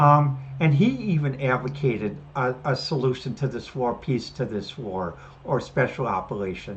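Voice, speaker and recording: Against noticeable background noise, a woman with a very deep, low voice talks at a moderate pace with lively intonation. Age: 60s. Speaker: podcast host. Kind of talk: solo commentary. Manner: halting, many fillers and restarts.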